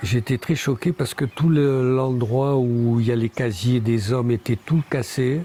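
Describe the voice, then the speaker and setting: This man's voice sits at a medium pitch. He talks fairly slowly. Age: 60s. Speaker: Auroville pioneer and architect. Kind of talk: interview. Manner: hesitant, many fillers.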